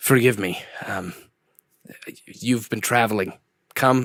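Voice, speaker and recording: Here a man puts on a raspy character voice at medium pitch. He speaks at a fairly slow pace. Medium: actual play. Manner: firm, measured.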